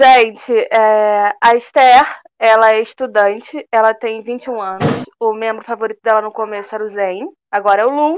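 With a fairly high pitch and fairly even intonation, a woman speaks in a plain, everyday voice. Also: moderate pace. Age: 20s. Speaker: fan podcast co-host, historian. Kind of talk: casual chat.

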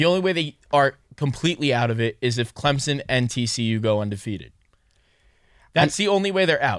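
In a very clean recording with a silent background, a man with an American accent talks fairly quickly. He has a plain, everyday voice at medium pitch, with lively intonation. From New York. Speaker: sports podcast host. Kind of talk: casual sports talk.

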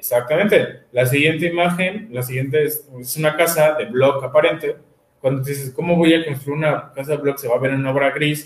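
A man's fairly high-pitched voice at a fairly quick pace, with fairly even intonation and a central Mexican accent. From Mexico City. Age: 20s. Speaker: architect. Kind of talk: panel talk presenting architecture practice. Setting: video stream, sharing one camera with partners.

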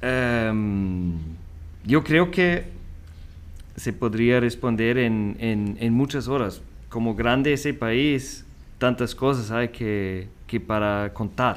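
A man with a German accent speaks at a very slow pace with long, frequent pauses, at a medium pitch with ordinary pitch variation. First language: German (speaking Spanish). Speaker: school vice principal. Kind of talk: interview. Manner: hesitant.

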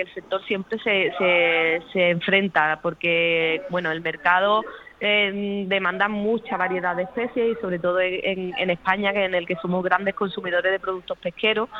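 Noticeable background noise runs under this recording. A woman talks at a moderate pace. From Cádiz province, Andalusia, Spain. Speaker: marine biologist, aquaculture research manager. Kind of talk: interview. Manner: hesitant, many repetitions.

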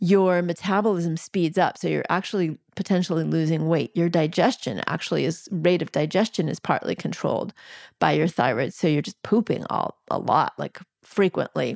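Vocal fry runs through this woman's voice. The recording is dry and close, with no echo. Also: fairly low pitch for a woman, ordinary pitch variation, moderate pace, very clean recording, silent background. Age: 50s. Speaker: physician and herbalist. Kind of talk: casual chat.

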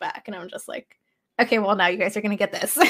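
Her voice has a bright, sharp tone. The woman speaks with an American accent. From Los Angeles, US. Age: 30s. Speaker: HVAC technician, social media creator. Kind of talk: casual chat.

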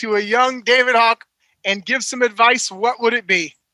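Recorded very cleanly with a silent background and a dry, close sound with no echo, a man speaks in a raised, projected voice at an extremely high pitch, keeping a moderate pace and fairly even intonation. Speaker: podcast co-host, athletic director. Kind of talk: casual podcast chat.

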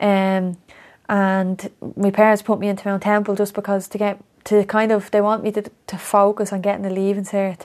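The speaker has a Dublin accent and talks at a moderate pace. The intonation stays monotone and flat. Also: woman, medium pitch for a woman. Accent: north Dublin Irish. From Ireland, Coolock, north Dublin. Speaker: former footballer. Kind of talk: casual chat.

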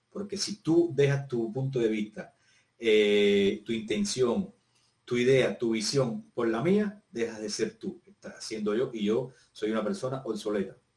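A man with a medium-pitched voice speaks with very wide pitch swings. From Cuba, Havana province. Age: 50s. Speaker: physical education teacher. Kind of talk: casual interview conversation.

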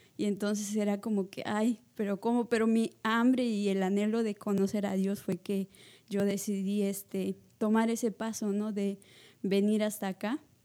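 Speaking at a fairly slow pace, a woman with a dark, mellow tone and medium pitch keeps a monotone, flat intonation on a very clean recording with a silent background. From Peru, La Libertad. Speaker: missionary. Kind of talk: testimony.

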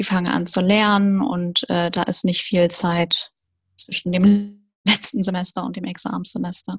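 A woman with a medium pitch and a somewhat breathy voice speaks at a fairly slow pace. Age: 20s. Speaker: recent dental graduate. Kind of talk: interview.

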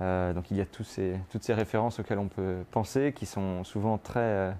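The voice has a dark, mellow tone and ordinary pitch variation at a moderate pace. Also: man. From France, Brittany. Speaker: artist. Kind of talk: guided studio tour. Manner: halting, many fillers.

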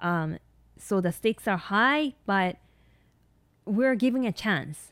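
In a Japanese accent, a woman talks at a fairly slow pace and medium pitch, captured in a very clean recording with a silent background and a dry, close sound free of echo. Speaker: nurse practitioner and podcast host. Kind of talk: solo podcast monologue. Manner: hesitant, many fillers.

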